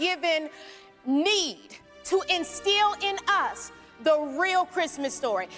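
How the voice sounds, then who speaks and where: A woman speaks in a raised, projected voice. Faint music plays in the background. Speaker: speaker. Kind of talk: storytelling monologue to congregation. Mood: warm, playful. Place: church. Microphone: handheld.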